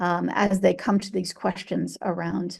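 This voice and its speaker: Using vocal fry, a woman speaks at a fairly slow pace against a quiet background. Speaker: veterinary social work professor. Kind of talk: webinar lecture. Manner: halting, many fillers.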